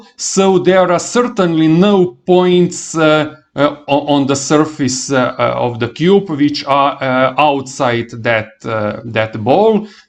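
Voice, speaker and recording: Very slow speech from a man with a non-native accent and lively intonation. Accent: non-native English, noticeable. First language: not English. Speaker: math teacher. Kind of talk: lecture. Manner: halting, many fillers.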